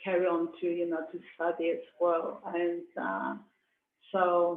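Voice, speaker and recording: A woman with a Hong Kong accent. She speaks at a very slow pace. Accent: Hong Kong Cantonese-accented English. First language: Cantonese. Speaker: artist. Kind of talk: interview. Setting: video call. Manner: halting, many fillers.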